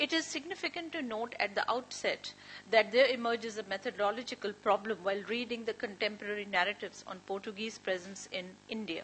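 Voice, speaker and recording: Light background noise accompanies a woman speaking at a fairly quick pace with hardly any pauses. Her pitch variation is ordinary. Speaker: speaker. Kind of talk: academic paper reading. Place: meeting room. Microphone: podium.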